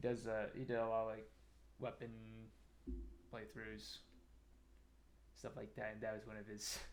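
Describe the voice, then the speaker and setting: Soft-spoken, a man talks at a moderate pace with audible room echo. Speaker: game streamer. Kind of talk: casual gameplay commentary. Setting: live stream.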